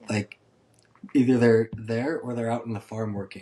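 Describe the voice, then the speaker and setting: This man talks at a moderate pace in a Montana accent, his medium pitch held in a flat monotone. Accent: western US (Montana). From Montana (Conrad, rural). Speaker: podcast host. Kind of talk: podcast interview.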